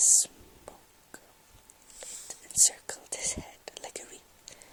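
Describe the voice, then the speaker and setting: Someone whispers in a relaxed tone over noticeable background noise. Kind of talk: ASMR poetry reading, softly spoken. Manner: soft-spoken, relaxed.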